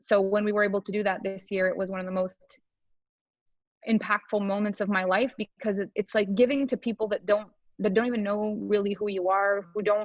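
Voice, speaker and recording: Here a woman talks at a fairly quick pace in a medium pitch. Her intonation stays monotone and flat. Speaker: business coach and entrepreneur. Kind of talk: podcast interview. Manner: captivating speaker.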